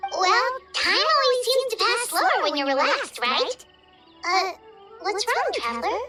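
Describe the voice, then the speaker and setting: A put-on character voice, pitched extremely high with very wide pitch swings, moves at a moderate pace and in a Jamaican—no, plain delivery broken by long, frequent pauses. Clear music plays in the background. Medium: video game. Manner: lively, talkative.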